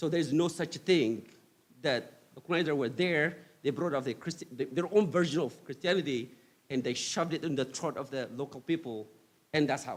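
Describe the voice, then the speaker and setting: Delivery comes at a fairly quick pace in an Ethiopian accent. Pitch varies in an ordinary way. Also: man, fairly high pitch for a man. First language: not English; English is third language. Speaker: guest speaker. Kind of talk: lecture.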